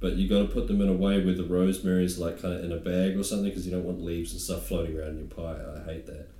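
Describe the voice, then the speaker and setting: A man speaks very fast with a very deep, low pitch. His intonation is fairly even and there are hardly any pauses. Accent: New Zealand. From New Zealand. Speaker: stand-up comedian. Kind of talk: casual chat.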